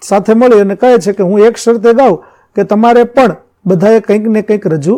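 A man is speaking. His tone is dark and mellow. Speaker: school teacher. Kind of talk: lecture.

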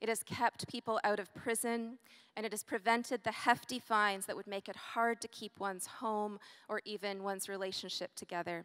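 A woman has an unremarkable speaking voice at a fairly high pitch, with fairly even intonation. She talks at a fairly quick pace against a quiet background. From Canada. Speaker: ethics scholar and event host. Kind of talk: formal introduction. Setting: stage with audience. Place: stage. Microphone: handheld.

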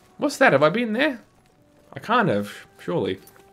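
Music plays in the background as a man talks at a fairly quick pace with very wide pitch swings. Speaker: let's play gamer. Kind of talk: casual gameplay commentary.

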